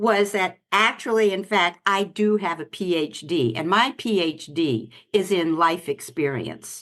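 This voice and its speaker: Lively intonation and vocal fry from a woman at medium pitch, fairly slow pace, quiet background. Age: 80s+. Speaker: life coach. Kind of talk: interview.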